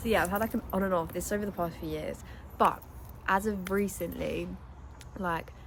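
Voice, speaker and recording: A woman speaks with a British accent. She keeps a moderate pace. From England. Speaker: lifestyle vlogger. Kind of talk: casual vlog talk. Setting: outdoors. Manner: chatty, filler-heavy.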